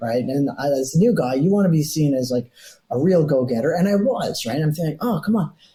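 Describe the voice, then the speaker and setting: Speaking fairly quickly, a man with a fairly high, somewhat breathy voice and a dark, mellow tone uses lively intonation. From Toronto, Canada. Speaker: retired police detective. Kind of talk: interview answer. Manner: casual, anecdotal.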